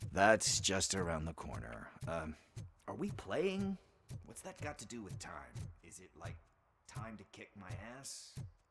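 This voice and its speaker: Using a put-on character voice, a man with a fairly low pitch talks at a moderate pace, broken by long, frequent pauses. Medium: video game. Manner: casual, quippy.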